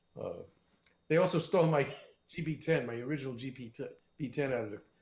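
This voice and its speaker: With a New York accent and vocal fry, a man talks at a fairly quick pace in a fairly high pitch and lively intonation. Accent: New York area. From New Jersey, Fort Lee. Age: 70s. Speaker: session guitarist. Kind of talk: casual interview chat.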